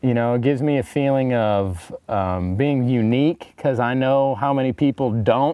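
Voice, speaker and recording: Here a man speaks with a Midwestern US accent. His pitch varies in an ordinary way. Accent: US Midwest. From Northeast Kansas. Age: 20s. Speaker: hunter, outdoorsman. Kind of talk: interview testimony. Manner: halting.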